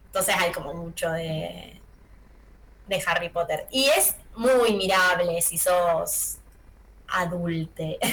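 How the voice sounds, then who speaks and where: A woman speaks very slowly at a fairly low pitch, with long, frequent pauses, ordinary pitch variation, and noticeable background noise. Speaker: film and series columnist. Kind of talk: radio column, casual chat.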